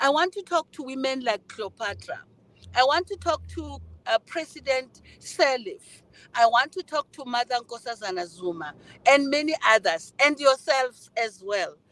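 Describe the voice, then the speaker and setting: At a moderate pace, a woman speaks in a high pitch with very wide pitch swings and big swings in loudness, the sound dry and close with no echo. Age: 60s. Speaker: guest speaker, NGO chairperson. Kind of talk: speech at online summit.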